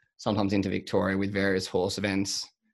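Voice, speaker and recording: A man speaks with an Australian accent at a fairly low pitch. The recording is very clean, with a silent background. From Australia, Sydney. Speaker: agriculture podcast host and agribusiness consultant. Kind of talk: interview.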